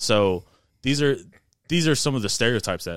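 With an American accent, a man uses an ordinary speaking voice at a moderate pace and lively intonation, captured on a very clean recording with a silent background. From Indiana, US Midwest. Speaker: band director and lifter. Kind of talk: casual chat.

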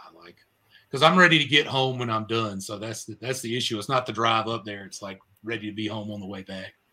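A man with an American accent speaks at a very fast pace in a medium pitch, with ordinary pitch variation. His tone is bright and sharp, and his loudness swings widely. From North Carolina, Raleigh area. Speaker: paintless dent repair business owner. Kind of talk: casual chat.

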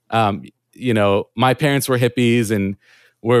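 Recorded very cleanly against a silent background, this normal speaking voice sounds dry and close with no echo. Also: man. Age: 30s. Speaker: podcast creator with chronic illness. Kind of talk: casual interview chat.

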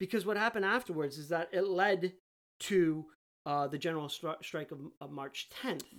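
At a moderate pace, a woman with a fairly low pitch speaks in an unremarkable speaking voice, showing ordinary pitch variation. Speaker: podcast co-host. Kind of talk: casual chat.

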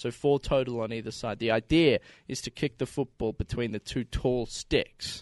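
A man with an Australian accent talks at a moderate pace and medium pitch, with fairly even intonation. The sound is dry and close with no echo, over a quiet background. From Victoria, Australia. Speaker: former college football punter. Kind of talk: casual chat.

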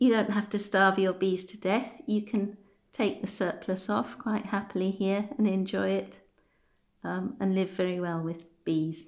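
Her voice marked by vocal fry, a woman speaks at a fairly slow pace with ordinary pitch variation. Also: medium pitch for a woman. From Scotland then southern England. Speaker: beekeeping charity founder. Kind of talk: interview.

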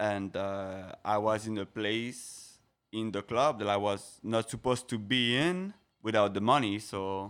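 A man speaks in a French accent at a fairly low pitch with ordinary variation. The recording is very clean, with a silent background. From France (Paris, French Riviera). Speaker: guest on a podcast. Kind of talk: casual chat.

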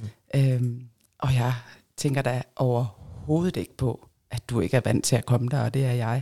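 In a dry, close sound with no echo, a woman speaks with a very deep, low pitch, a dark, mellow tone and fairly even intonation. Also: fairly slow pace. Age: 40s. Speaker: swinger guest. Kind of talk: casual chat.

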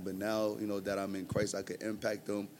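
In a New York accent, a man with a fairly low voice talks at a fairly quick pace. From Brooklyn, New York. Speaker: church member, teacher. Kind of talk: casual interview, testimony.

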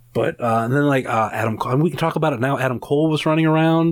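This man has an unremarkable speaking voice, fairly high in pitch, with an American accent and fairly even intonation. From Northeast Ohio, Rootstown. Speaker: podcast host. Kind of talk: scripted outro; casual chat. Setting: home studio.

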